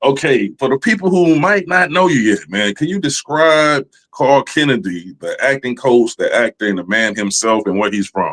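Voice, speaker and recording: A man's fairly high voice with very wide pitch swings and hardly any pauses. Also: moderate pace. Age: 40s. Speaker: podcast host. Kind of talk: casual interview chat.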